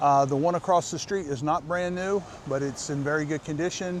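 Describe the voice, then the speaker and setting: Against noticeable background noise, a man talks at a moderate pace in a fairly high voice with ordinary pitch variation. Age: 60s. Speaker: vlogger. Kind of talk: casual vlog narration. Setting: outdoors, riding a bike on the beach. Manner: casual, many fillers.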